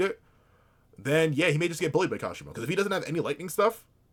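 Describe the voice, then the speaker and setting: A man speaks with a fairly high pitch. His voice has vocal fry. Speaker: reaction youtuber. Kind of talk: reaction commentary. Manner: animated, halting with fillers.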